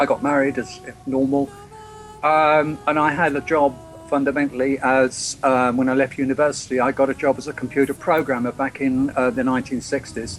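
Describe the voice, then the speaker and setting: Over music in the background, a man with a medium pitch and an English accent talks at a fairly quick pace in a monotone, flat intonation. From England. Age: 60s. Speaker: freedom movement activist and author. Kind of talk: interview. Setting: Skype call. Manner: halting.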